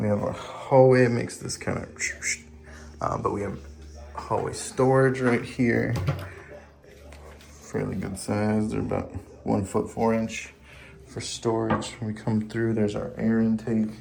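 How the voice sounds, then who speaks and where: Speaking quietly at a fairly slow pace, a man with a fairly low pitch keeps his intonation fairly even and leaves long, frequent pauses amid audible room echo. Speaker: home inspector or house walkthrough guide. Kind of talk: property walkthrough narration. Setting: indoors, walking through a house. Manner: casual, with many fillers; speaking quietly near home office.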